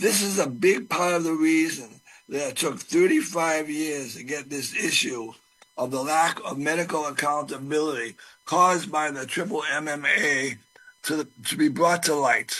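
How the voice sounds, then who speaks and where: A man's fairly high voice, fairly slow, with ordinary pitch variation and music in the background. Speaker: testifier at a public legislative hearing. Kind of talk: public hearing testimony.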